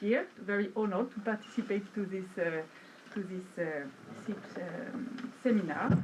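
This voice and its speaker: Noticeable background noise and audible room echo accompany a woman with a French accent. She speaks at a moderate pace in a medium pitch with ordinary pitch variation. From Brittany, France. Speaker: academic researcher. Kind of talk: conference presentation. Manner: hesitant, many fillers.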